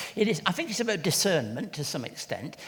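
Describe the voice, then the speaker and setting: A man speaks with an English accent. Vocal fry runs through his voice. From England. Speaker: church leader and charity CEO. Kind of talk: interview at book launch. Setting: event with audience.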